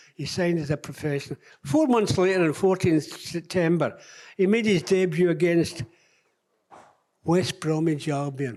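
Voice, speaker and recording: A high-pitched man's voice at a moderate pace, with ordinary pitch variation and long, frequent pauses. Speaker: former footballer. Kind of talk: tribute speech on stage. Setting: live event hall. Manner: blunt, wry.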